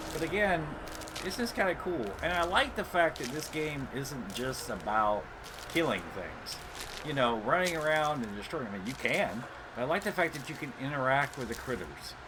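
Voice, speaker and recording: Intonation is lively as a man speaks. Audible room echo and noticeable background noise fill the recording. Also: moderate pace. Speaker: gamer streamer. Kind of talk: gameplay commentary. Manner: casual, hesitant with fillers.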